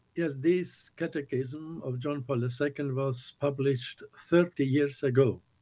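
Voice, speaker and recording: A man's somewhat breathy voice, fairly high in pitch, at a fairly slow pace with fairly even intonation. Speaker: bishop. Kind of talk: interview.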